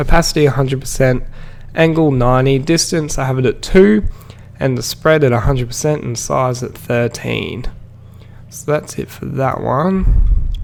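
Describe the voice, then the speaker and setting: Noticeable background noise sits behind a man speaking at a moderate pace. His pitch is medium, with ordinary variation. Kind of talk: software tutorial voiceover. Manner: casual.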